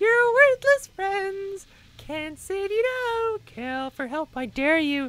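Speaking at a very slow pace, a man puts on a character voice. That put-on voice sits at an extremely high pitch. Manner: furious, screaming, mocking.

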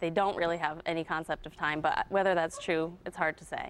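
A woman's fairly low-pitched voice with monotone, flat intonation. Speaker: guest. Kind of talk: interview answer. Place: studio.

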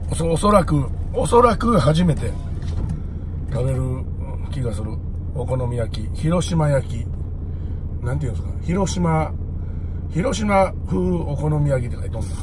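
With noticeable background noise, a man with a very deep, low pitch speaks at a fairly slow pace, leaving long, frequent pauses. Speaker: truck driver vlogger. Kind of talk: casual vlog chat. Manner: sick, weak, sluggish voice with a cold. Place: car. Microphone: phone near.

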